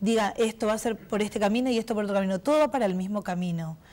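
Ordinary pitch movement from a woman at medium pitch, captured in a very clean recording with a silent background. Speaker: president of a professional cosmetology association. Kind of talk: TV interview.

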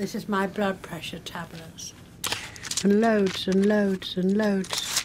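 Amid noticeable background noise, a woman at medium pitch speaks very slowly in a monotone, flat intonation. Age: 80s+. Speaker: actress. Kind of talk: casual talk to camera.

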